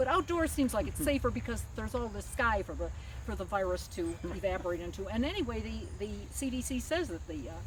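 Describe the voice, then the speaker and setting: A woman speaks at a very fast pace. Audible room echo and noticeable background noise surround her. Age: 80s+. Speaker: amateur fencer. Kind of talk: casual interview. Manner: halting, with fillers and repeats.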